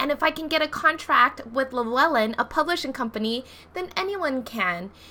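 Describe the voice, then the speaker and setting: Over noticeable background noise, a woman speaks in a raised, projected voice at a high pitch. Her tone is animated, with very wide pitch swings. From Hawaii. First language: not English. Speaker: tarot deck creator and coach. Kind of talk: casual vlog tutorial.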